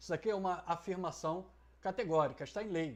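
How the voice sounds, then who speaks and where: The background stays quiet. A man is talking at a moderate pace. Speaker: essay writing teacher. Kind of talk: tutorial.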